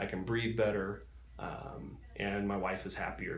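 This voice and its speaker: This man has an unremarkable speaking voice. His pitch is fairly low, and he goes at a moderate pace. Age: 30s. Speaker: surgery patient. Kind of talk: interview answer.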